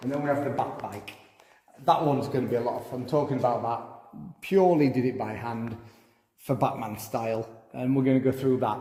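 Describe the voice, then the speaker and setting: In a room with audible echo, a man with a Yorkshire accent speaks at a fairly quick pace and medium pitch. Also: ordinary pitch variation. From Yorkshire, England. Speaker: car and motorbike repair vlogger. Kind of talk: casual garage tour vlog.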